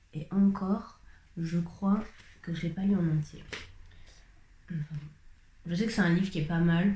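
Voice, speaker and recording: Noticeable background noise sits behind a woman speaking at a fairly slow pace. Her voice is fairly low, with fairly even intonation. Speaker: vlogger. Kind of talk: casual talk to camera. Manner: chatty.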